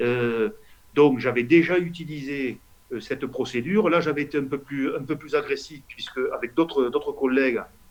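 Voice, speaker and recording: In a Toulouse accent, a man with a fairly high pitch speaks at a moderate pace with ordinary pitch variation. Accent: southern French, Toulouse. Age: 50s. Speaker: politician, member of parliament. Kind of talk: interview answer.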